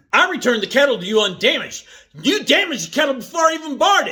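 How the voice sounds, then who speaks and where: Raising and projecting his voice, a man does a put-on character voice at an extremely high pitch and a very fast pace. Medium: solo performance. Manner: defensive, quick to rage.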